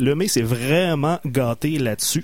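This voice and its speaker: A man with an unremarkable speaking voice talks fairly slowly at a fairly high pitch, his intonation lively. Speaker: radio co-host. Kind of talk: casual chat.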